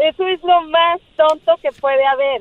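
At a very slow pace, a woman speaks. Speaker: caller. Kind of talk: personal testimony on call-in show. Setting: phone call.

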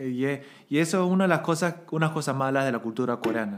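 A man's ordinary speaking voice, an ordinary speaking voice at a fairly quick pace with ordinary pitch variation, on a very clean recording with a silent background. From Bolivia. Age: 30s. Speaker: podcast guest. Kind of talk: casual chat.

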